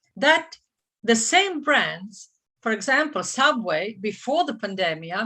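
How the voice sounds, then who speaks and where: This woman has a bright, sharp tone and lively intonation. She speaks with a Croatian accent. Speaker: franchise consultant. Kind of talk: seminar presentation. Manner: halting, many fillers and restarts.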